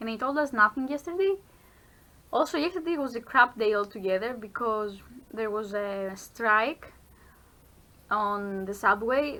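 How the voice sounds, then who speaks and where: On a very clean recording with a silent background, a woman with a non-native accent speaks at a moderate pace, her fairly high voice bright and sharp in tone, with ordinary pitch variation. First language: not English. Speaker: vlogger, university student. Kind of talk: casual vlog chat. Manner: halting with self-corrections.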